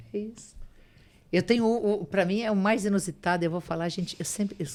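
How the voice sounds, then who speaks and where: With an ordinary speaking voice at a medium pitch, a woman talks at a fairly quick pace with ordinary pitch variation in a very clean recording with a silent background. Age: 60s. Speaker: spiritual medium and author. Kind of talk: podcast interview.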